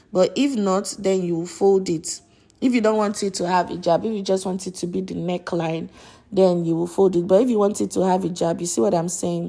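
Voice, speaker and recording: The woman's tone is dark and mellow, at medium pitch. She talks at a fairly quick pace with fairly even intonation. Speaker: sewing tutor. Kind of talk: tutorial.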